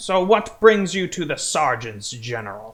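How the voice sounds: A man puts on a gruff character voice at a high pitch. He moves at a moderate pace with very wide pitch swings.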